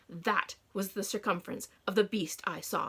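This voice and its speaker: Growling in a put-on character voice, a woman speaks at a medium pitch and a moderate pace. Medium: read story.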